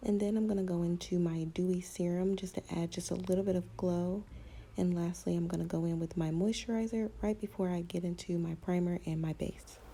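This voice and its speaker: A woman speaks in a soothing, dark, mellow, somewhat breathy tone with a fairly low pitch. Her delivery is fairly quick, monotone and flat, with very even loudness. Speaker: beauty vlogger. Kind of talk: tutorial. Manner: soft, soothing.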